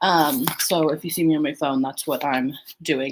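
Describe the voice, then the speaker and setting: Quietly, a woman speaks at a very deep, low pitch and a moderate pace. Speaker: podcast host. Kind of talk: casual solo watch-along chat. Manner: casual, filler-heavy.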